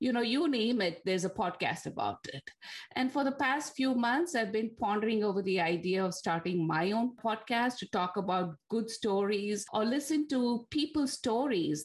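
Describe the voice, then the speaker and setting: A woman with a Tamil accent speaks at a moderate pace in a somewhat breathy voice. Her pitch is fairly high and moves in very wide swings. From India, Bangalore. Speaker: podcast host. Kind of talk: casual chat.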